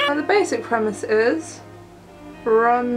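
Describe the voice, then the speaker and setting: Music sounds in the background while a woman speaks in a high pitch. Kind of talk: makeup tutorial talk to camera. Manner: casual, chatty.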